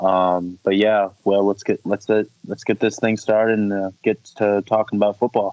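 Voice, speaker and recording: The man's pitch is fairly low and his intonation monotone and flat as he speaks at a moderate pace with an American accent. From US Northeast, Syracuse, New York. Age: 20s. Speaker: podcast co-host, semi-pro football player. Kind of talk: casual podcast chat. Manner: halting, many fillers.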